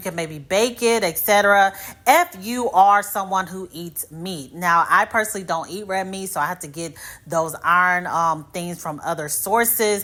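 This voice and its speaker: A woman speaks with an American accent. Her tone is bright and sharp, with ordinary pitch variation. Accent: Midwestern US, commented on by viewers. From US Midwest. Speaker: hair care YouTuber. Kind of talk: casual tutorial talk to camera.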